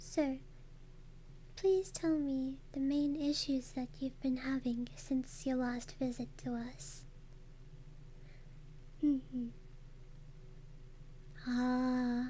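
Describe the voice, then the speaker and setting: A gentle tone comes through at a very slow pace with long, frequent pauses over noticeable background noise. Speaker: ASMR / VTuber streamer. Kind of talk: ASMR roleplay, soothing clinic consultation. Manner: soft-spoken, gentle, calming.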